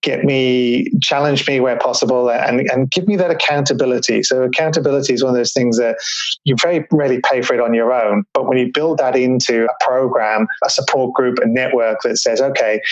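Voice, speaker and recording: A man talks at a fairly quick pace with a medium pitch and ordinary pitch variation. Noticeable background noise runs behind him. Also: hardly any pauses, very even loudness. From Melbourne, Australia. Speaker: business mastermind founder. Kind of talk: interview conversation.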